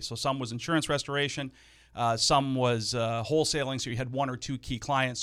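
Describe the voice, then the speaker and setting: Heard on a very clean recording with a silent background, a man with a normal speaking voice and medium pitch speaks at a fairly quick pace. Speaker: small business owner and real estate investor. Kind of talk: casual interview.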